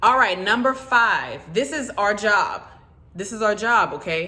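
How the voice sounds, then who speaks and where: Her bright, sharp tone is animated as this woman speaks in a Southern US accent with ordinary pitch variation. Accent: Southern country speech. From US South. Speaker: notary and loan signing agent YouTuber. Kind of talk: informal advice video.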